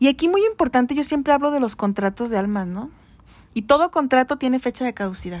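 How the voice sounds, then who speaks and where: A woman talks at a very fast pace in a high pitch with lively intonation. Her voice sounds dry and close, without echo. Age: 40s. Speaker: podcast co-host. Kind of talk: casual chat.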